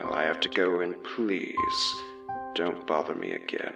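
Over faint music, a man uses a put-on character voice at an extremely low pitch with vocal fry, a bright, sharp tone, big pitch swings and a fairly slow pace.

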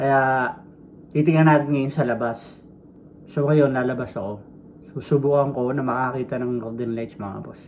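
Long, frequent pauses and big swings in loudness mark this man's moderate-paced speech with fairly even intonation. Light background noise sits behind him. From Philippines. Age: 40s. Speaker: vlogger. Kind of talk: vlog monologue; casual vlog chat. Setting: walking outdoors. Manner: casual, rambling with fillers. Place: home room. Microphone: phone near.

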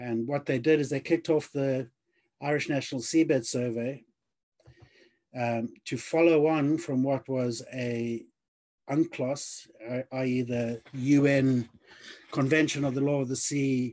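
A man talks at a fairly slow pace, with long, frequent pauses and fairly even intonation. The background is quiet. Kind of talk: lecture. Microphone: webcam.

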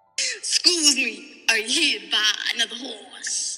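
A cartoonish character voice, high in pitch, goes at a fairly slow pace with music in the background. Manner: salesy, eager.

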